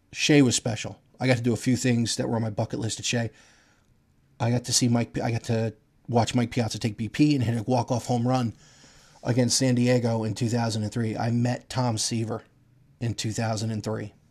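On a very clean recording with a silent background, a man speaks at a fairly quick pace in a medium pitch, somewhat breathy and with monotone, flat intonation. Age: 40s. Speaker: sports podcast host. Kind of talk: solo sports commentary podcast.

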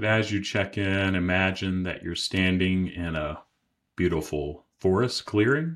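Over a very clean recording with a silent background, a man speaks in a gentle tone with a very deep, low pitch at a very slow pace. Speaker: IFS practitioner and meditation guide. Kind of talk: guided meditation, calm soothing visualization with long pauses. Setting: podcast recording, solo studio. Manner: slow, gentle, soft-spoken, unhurried with long silences; warm, compassionate, inviting.

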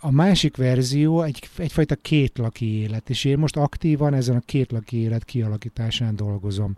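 A man with a dark, mellow tone speaks with hardly any pauses and ordinary pitch variation, in a very clean recording with a silent background and a dry, close sound with no echo. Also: medium pitch for a man, moderate pace. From Hungary. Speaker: podcast host. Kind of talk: interview; scripted narration.

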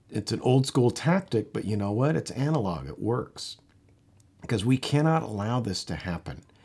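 This man's somewhat breathy voice swings very widely in pitch, captured in a very clean recording with a silent background. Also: medium pitch for a man, moderate pace. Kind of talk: angry rant. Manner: indignant, worked-up, pounding out repeated phrases; urgent, rallying, emphatic.

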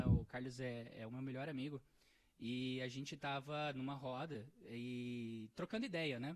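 With fairly even intonation and a medium pitch, the man talks in an ordinary speaking voice. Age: 20s. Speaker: entrepreneur. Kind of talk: casual chat.

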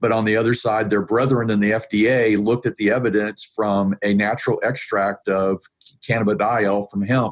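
A normal speaking voice with an American accent, fairly even intonation, and a moderate pace. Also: man. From US South, Atlanta, Georgia. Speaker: IT professional and pain advocate. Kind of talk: interview conversation. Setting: video call.

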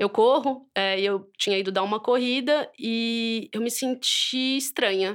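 This woman speaks with a fairly high pitch and ordinary pitch variation. It is a normal speaking voice on a very clean recording with a silent background. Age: 30s. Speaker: mother and writer. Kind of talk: interview, personal testimony.

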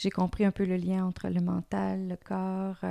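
The sound is dry and close, with no echo at all. A woman speaks at a fairly slow pace. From Quebec, small town. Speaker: yoga teacher. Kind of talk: interview. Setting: recorded in Canada.

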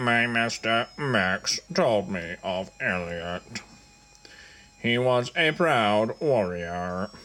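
A man speaks in a put-on character voice at a medium pitch. His pace is very slow. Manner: terse, stoic.

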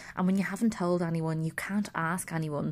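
A woman's fairly low voice with an Irish accent. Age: 30s. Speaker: podcast host. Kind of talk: personal monologue.

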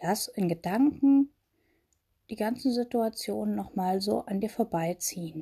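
Calm and soothing, this dark, mellow, somewhat breathy voice takes a fairly slow pace with lively intonation. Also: woman, medium pitch for a woman. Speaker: meditation guide. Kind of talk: guided meditation. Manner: slow, calm, soothing, with long pauses; gentle, intimate, addressing listener as 'du'.

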